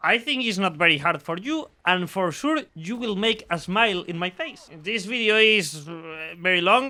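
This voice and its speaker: A man with a Spanish accent uses a raised, projected voice at a moderate pace, with a bright, sharp tone. His pitch is high and his intonation lively. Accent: non-native English, Spanish speaker. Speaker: gaming YouTuber and streamer. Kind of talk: video game introduction video. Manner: halting, repeats words.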